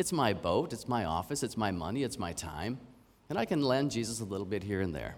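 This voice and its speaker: This man talks fairly quickly at a medium pitch with a Canadian accent. Room echo can be heard. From Canada. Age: 50s. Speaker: preacher. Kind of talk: sermon.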